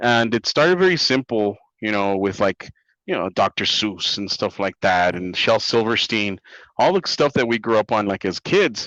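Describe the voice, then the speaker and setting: With a Spanish accent, a man speaks at a medium pitch and moderate pace, the sound dry and close with no echo against a quiet background. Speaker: comic book writer. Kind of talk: interview. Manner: hesitant, many fillers.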